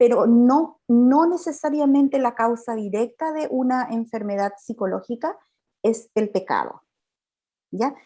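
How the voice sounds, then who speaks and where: Her voice is high for a woman, dark and mellow in tone, with ordinary pitch variation and a fairly slow pace. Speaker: psychologist and pastor giving a talk. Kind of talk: lecture. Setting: video call. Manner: halting, many repetitions.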